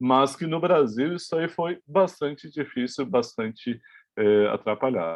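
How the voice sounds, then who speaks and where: A man talks at a very slow pace. His medium pitch swings very widely. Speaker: university lecturer. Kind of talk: lecture. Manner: halting.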